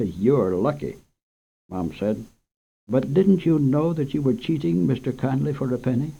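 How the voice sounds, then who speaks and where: Vocal fry runs through a man's dark, mellow voice as his pitch swings very widely. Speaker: radio host and storyteller. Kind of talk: children's story reading. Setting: radio studio.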